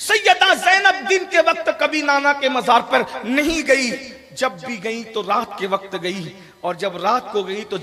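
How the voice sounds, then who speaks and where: Over noticeable background noise, a man uses a raised, projected voice with very wide pitch swings. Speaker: Islamic scholar delivering a religious sermon (bayan). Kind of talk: religious sermon about Karbala, delivered to a public gathering.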